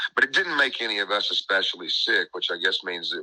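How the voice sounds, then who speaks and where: Very fast and with an American accent, a man talks in a dry, close sound with no echo. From Nashville, Tennessee, US South. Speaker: musician in a bluegrass band. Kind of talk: radio interview.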